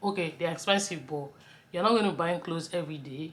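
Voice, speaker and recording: In a Nigerian accent, a woman speaks with a very deep, low pitch and ordinary pitch variation. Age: 30s. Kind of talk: casual talk to camera.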